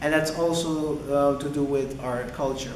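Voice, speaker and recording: A man speaks at a moderate pace with a medium pitch. Noticeable background noise and audible room echo fill the recording. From Aruba. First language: Papiamento. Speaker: design student. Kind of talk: video introduction.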